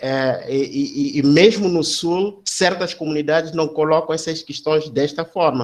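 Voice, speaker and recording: With a Mozambican accent, a man talks at a fairly slow pace in a fairly high pitch. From Mozambique. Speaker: academic. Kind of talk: seminar discussion comment. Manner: halting, many fillers and repetitions.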